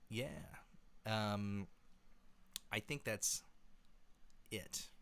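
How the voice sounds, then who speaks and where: A man's voice is resonant and fairly low. His pitch variation is ordinary. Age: 20s. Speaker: singer and musician. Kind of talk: livestream Q&A chat. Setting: home livestream. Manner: halting, many fillers.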